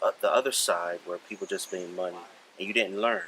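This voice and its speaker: Calm in tone, a man with a very deep, low pitch speaks with fairly even intonation over noticeable background noise. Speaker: firearms instructor. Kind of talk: interview. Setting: at a shooting event. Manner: approachable, calm.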